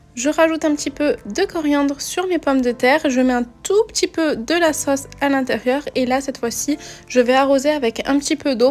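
Faint music plays in the background as a woman speaks. Her pitch is high, with ordinary pitch variation. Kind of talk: cooking tutorial. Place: kitchen.

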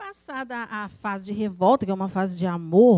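A woman talks at a moderate pace, her voice dry with no echo against a quiet background. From Rio de Janeiro state, Brazil. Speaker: poet. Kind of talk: presentation. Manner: halting, repeats words. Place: meeting room. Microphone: podium.

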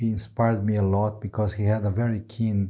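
A man with a Brazilian accent, a dark, mellow tone and fairly low pitch, somewhat breathy against a quiet background. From Brazil, inner region. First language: Portuguese. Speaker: neurology professor. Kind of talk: interview. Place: studio. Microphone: lapel.

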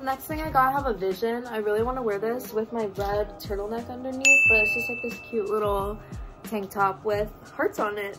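A woman's fairly quick speech with ordinary pitch variation, set against loud music in the background. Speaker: vlogger. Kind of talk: casual vlog chat. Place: home room. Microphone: phone near.

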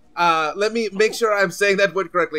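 A man speaks in a high, raised and projected voice with a bright, sharp tone. The sound is dry and close, with no echo. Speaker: comedy improviser. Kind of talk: improvised comedy podcast.

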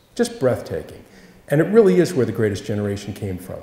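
This male speaker's voice carries audible room echo. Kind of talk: Q&A answer at a public talk. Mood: warm, earnest, reflective. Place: church.

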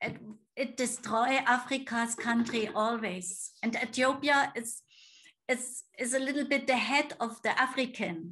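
A woman with a German accent, high-pitched and bright and sharp in tone, at a fairly slow pace with ordinary pitch variation and a quiet background. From Germany. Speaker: missionary. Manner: halting. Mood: warm, smiling. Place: home room. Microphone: video call.

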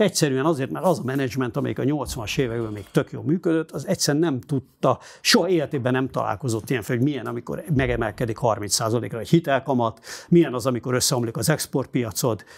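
This man talks at a very fast pace with hardly any pauses. His intonation is lively, and there is vocal fry in his voice. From Hungary, Budapest; Hungary. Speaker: journalist and editor-in-chief; interviewee. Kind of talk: interview. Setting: studio. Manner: halting. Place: studio. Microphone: lapel.

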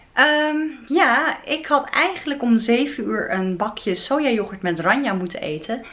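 A woman's very slow speech with very wide pitch swings over noticeable background noise. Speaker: vegan food vlogger. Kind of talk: casual vlog. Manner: animated.

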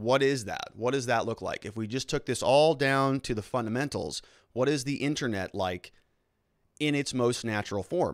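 A man speaks at a moderate pace with an American accent and ordinary pitch variation. The background is quiet, and the sound is dry with no echo. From United States. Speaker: lawyer and livestream host; lawyer, livestream host. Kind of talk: live-streamed commentary and lecture. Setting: live stream. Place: studio. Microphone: studio mic.

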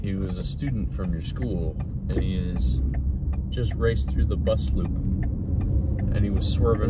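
A man talks at a fairly slow pace over loud background noise, the sound dry with no echo. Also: ordinary pitch variation. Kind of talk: casual vlog chat. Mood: joking, storytelling. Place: car. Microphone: phone near.

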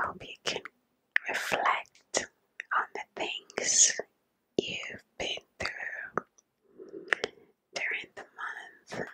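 A woman is whispering. She speaks at a very slow pace. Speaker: ASMR creator. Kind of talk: ASMR whisper video. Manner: whispered. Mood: calm, warm. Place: home room. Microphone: studio mic.

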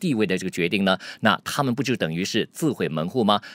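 Over a quiet background, a man talks at a fairly quick pace with vocal fry and very wide pitch swings, the sound dry with no echo. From Malaysia. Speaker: news commentator. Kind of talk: news commentary. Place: studio. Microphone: studio mic.

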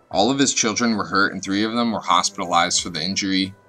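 A man talks fairly quickly while music plays behind him. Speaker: true crime narrator. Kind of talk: scripted narration. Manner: fast.

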